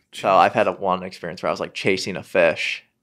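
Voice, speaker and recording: This man talks fairly quickly, and the background is quiet. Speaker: golf YouTuber and golfer; golf YouTuber. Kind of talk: casual chat. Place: studio. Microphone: studio mic.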